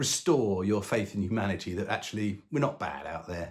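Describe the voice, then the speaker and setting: A man talks with a southern English accent. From London, England. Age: 60s. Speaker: retired long-distance hiker. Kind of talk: casual self-introduction to camera. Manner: hesitant, many ums and uhs.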